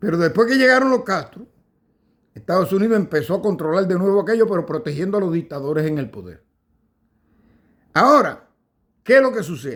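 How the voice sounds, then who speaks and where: Speaking in a Cuban accent, a man uses a high pitch and very wide pitch swings at a fairly quick pace, broken by long, frequent pauses. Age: 60s. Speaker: political commentator. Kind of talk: casual monologue. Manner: halting.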